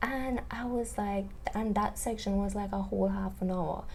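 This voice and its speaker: A woman speaks fairly slowly while noticeable background noise and audible room echo surround her. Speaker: YouTuber reviewing online courses. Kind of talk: product review monologue. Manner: animated.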